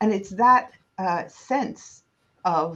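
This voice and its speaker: Speaking with an American accent, a woman has a medium-pitched, somewhat breathy voice. Her intonation is lively, and the background is quiet. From United States. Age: 60s. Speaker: historian, professor and author. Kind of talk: interview.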